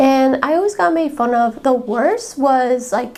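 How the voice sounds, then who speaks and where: A woman speaks in a high, animated voice with ordinary pitch variation. Noticeable background noise runs underneath. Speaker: student podcast host. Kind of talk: casual personal talk.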